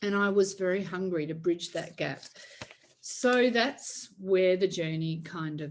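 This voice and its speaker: Pitch varies in an ordinary way as the words come at a very slow pace. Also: woman. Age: 60s. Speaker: faith-based emotional healing coach. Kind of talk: online workshop talk.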